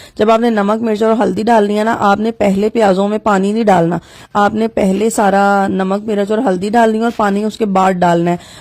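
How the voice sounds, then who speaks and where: A woman talks at a fairly slow pace in a flat, monotone way. Her loudness stays very even. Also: medium pitch for a woman. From Pakistan. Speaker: home cooking vlogger, mother. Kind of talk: cooking tutorial vlog. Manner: casual, chatty.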